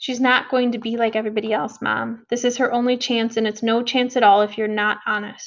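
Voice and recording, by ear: This is reading aloud in a natural voice. The intonation stays fairly even.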